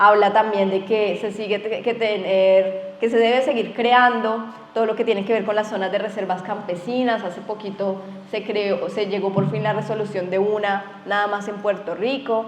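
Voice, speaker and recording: Delivered in a monotone, flat intonation at a moderate pace, the speech comes with audible room echo and noticeable background noise. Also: woman, medium pitch for a woman. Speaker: event moderator. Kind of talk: panel moderation.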